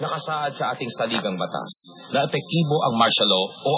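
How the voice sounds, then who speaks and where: Against noticeable background noise, a man with a fairly high pitch and lively intonation speaks at a moderate pace. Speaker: radio news announcer. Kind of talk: radio news report.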